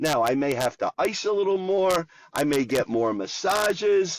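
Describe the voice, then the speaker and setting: Here a man speaks with an American accent and lively intonation. The sound is dry and close, with no echo. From Philadelphia. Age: 70s. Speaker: cancer survivor and bench press competitor. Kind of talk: podcast interview. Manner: animated.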